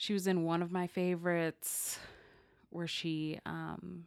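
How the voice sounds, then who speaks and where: The speech moves at a very slow pace with monotone, flat intonation, on a very clean recording with a silent background. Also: woman. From a city. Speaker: podcast co-host. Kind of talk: casual chat.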